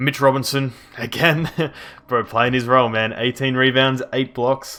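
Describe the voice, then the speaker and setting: Music plays in the background as a man speaks at a moderate pace. His medium-pitched voice has monotone, flat intonation. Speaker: video game youtuber. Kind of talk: gameplay commentary. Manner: quiet, subdued; casual, conversational.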